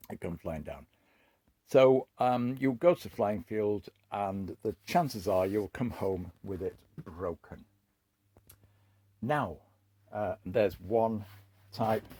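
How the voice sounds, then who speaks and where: A man speaks very slowly with long, frequent pauses, his fairly low voice dark and mellow, his intonation lively and his loudness swinging widely, in a dry, close sound with no echo. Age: 70s. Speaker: hobbyist video maker. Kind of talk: casual show-and-tell talk. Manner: hesitant, many fillers.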